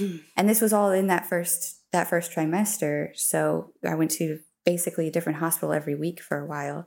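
With an American accent, a woman talks at a fairly quick pace in an unremarkable speaking voice, fairly low in pitch with fairly even intonation, on a very clean recording with a silent background. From US, Colorado. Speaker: mother sharing birth stories. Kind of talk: interview, personal storytelling.

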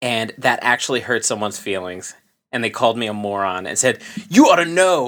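A man uses a normal speaking voice at a medium pitch, with lively intonation. His pace is fairly quick, and the recording is very clean with a silent background. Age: 30s. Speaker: podcast co-host. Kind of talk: casual chat.

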